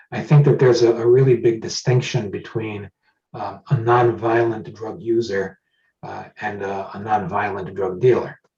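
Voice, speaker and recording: A man with an ordinary speaking voice talks at a moderate pace, with ordinary pitch variation and big swings in loudness. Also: medium pitch for a man. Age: 60s. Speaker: judicial candidate and lawyer. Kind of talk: candidate forum interview.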